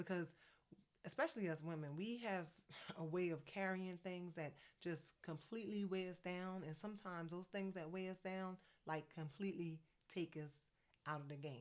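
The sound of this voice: Speaking in an American accent, a woman talks at a moderate pace with a fairly low pitch and ordinary pitch variation.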